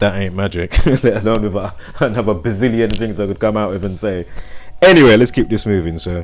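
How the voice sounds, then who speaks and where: Noticeable background noise sits under a man's fairly low voice. He talks at a fairly quick pace with ordinary pitch variation. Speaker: conspiracy and numerology commentator. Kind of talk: casual monologue. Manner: loud; rambling with fillers.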